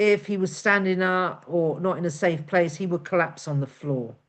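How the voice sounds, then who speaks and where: A woman with a British accent and lively intonation. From UK. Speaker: hypnotherapist. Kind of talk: webinar presentation. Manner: loud, projecting.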